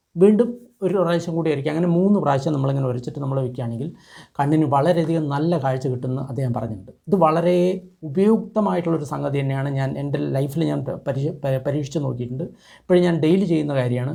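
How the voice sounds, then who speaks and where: A man's fairly high, somewhat breathy voice has a dark, mellow tone and audible room echo. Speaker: traditional medicine youtuber. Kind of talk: tutorial.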